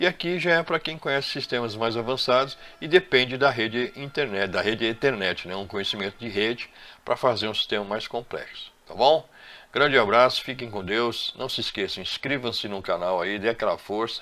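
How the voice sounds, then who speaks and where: His medium-pitched voice has a bright, sharp tone, and this man speaks with lively intonation. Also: moderate pace. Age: 60s. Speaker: electrician and CCTV installer. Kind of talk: tutorial. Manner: halting.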